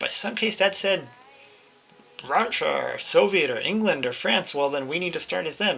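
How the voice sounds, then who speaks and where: Speech at a moderate speed is heard with noticeable background noise underneath. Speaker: video game guide creator. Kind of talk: tutorial. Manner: casual and chatty with self-corrections.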